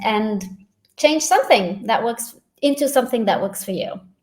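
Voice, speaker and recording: In a non-native accent, a woman speaks with lively intonation at a high pitch. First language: not English. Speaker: facilitator and doctor. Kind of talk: casual chat.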